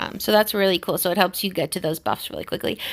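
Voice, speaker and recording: In a very clean recording with a silent background, a woman with an American accent speaks at a medium pitch in a bright, sharp tone. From US. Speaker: gaming youtuber. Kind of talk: tutorial. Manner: fast.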